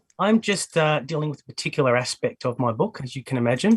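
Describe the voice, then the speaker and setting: In a dry, close recording with no echo, a man with an Australian accent speaks at a moderate pace and a fairly high pitch. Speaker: academic. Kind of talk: lecture. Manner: halting.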